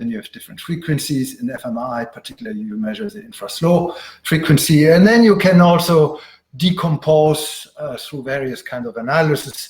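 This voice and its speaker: Fairly high male voice in a German accent, fairly quick in pace, with very wide pitch swings and big swings in loudness. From Germany. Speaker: professor. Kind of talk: lecture. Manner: frequent filler sounds, uh.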